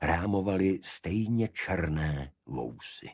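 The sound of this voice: A man talks with a slightly husky edge and ordinary pitch variation. The recording is very clean, with a silent background.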